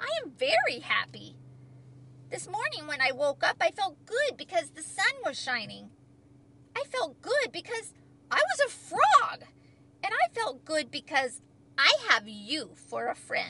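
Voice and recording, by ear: A woman's put-on character voice, high-pitched with very wide pitch swings, vocal fry, a bright, sharp tone and a fairly slow pace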